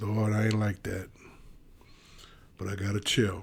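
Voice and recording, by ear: A man speaks at a fairly slow pace with vocal fry. His pitch is fairly low and moves little.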